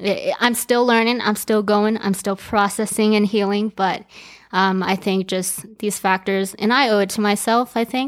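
Monotone, flat delivery from a woman at medium pitch, with a General American accent, a moderate pace and a very clean recording with a silent background. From Aurora, Colorado, US. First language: Chinese. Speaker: professional cheerleader. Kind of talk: casual interview.

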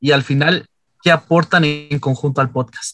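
A man is speaking. Music plays in the background. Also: dry, close sound with no echo. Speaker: communication student interviewer. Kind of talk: interview.

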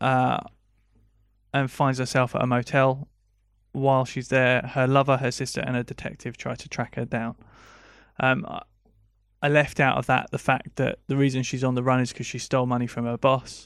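Long, frequent pauses break up speech at a moderate pace in a very clean recording with a silent background. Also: man. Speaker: film podcast co-host. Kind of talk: casual chat.

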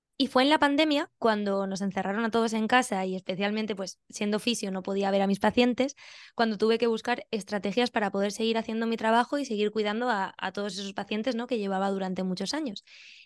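Very fast and with hardly any pauses, a woman speaks at a fairly high pitch with ordinary pitch variation, the sound dry and close with no echo against a quiet background. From Spain, Valencia region (Benidorm). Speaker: pilates teacher and physiotherapist. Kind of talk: interview.

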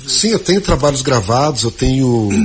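Noticeable background noise fills the clip. A man talks over it. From Mato Grosso do Sul Pantanal, Aquidauana. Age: 40s. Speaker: accordionist. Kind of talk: interview.

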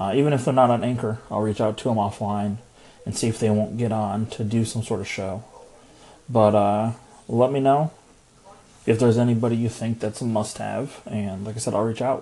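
A man at a medium pitch and a fairly quick pace, with fairly even intonation and an unremarkable speaking voice. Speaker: podcaster. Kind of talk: voice message.

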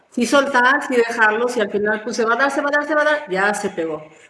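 A woman talks at a fairly quick pace with a fairly high pitch and ordinary pitch variation, amid audible room echo and noticeable background noise. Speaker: mother of a podcast host. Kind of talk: casual chat.

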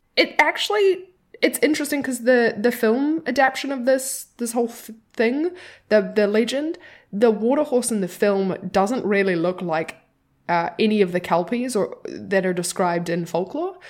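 On a very clean recording with a silent background, a woman with fairly high pitch talks at a moderate pace in an animated tone, her pitch swinging very widely. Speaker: podcast co-host. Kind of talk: casual chat. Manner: animated, laughs often.

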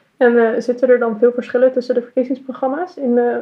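A woman speaks at a fairly quick pace with a high pitch and monotone, flat intonation. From Utrecht, Netherlands. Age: 20s. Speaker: podcast host and party candidate. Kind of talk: casual interview. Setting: recording at city hall.

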